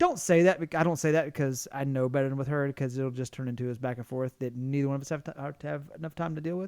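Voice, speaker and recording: A man talks at a very fast pace with a fairly high pitch and fairly even intonation. The recording is very clean with a silent background. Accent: Southern US. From US South. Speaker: podcast co-host. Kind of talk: casual chat. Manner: halting, many restarts.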